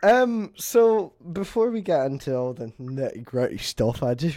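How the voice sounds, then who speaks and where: With a Scottish accent and a dark, mellow tone, a man talks in lively intonation on a very clean recording against a silent background. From Scotland. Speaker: podcast host. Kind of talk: casual chat.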